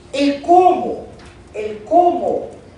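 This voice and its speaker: A woman speaks with a non-native accent. Audible room echo surrounds her voice. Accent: foreign accent in Spanish. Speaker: lecturer. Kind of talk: lecture.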